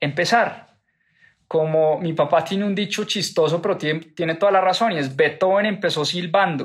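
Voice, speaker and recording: On a very clean recording with a silent background, a man with a high pitch talks at a moderate pace with ordinary pitch variation. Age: 30s. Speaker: podcast host, finance educator. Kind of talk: book club talk, monologue.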